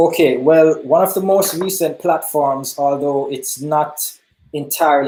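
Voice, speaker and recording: A man's dark, mellow voice with a Jamaican accent, fairly high in pitch, ordinary pitch variation, at a moderate pace. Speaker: hip hop artist. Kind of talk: interview.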